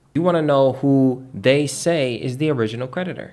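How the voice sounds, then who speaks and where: An ordinary speaking voice from a man, medium in pitch, moderate in pace, with ordinary pitch variation. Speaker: online finance and debt educator. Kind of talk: tutorial. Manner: casual, conversational.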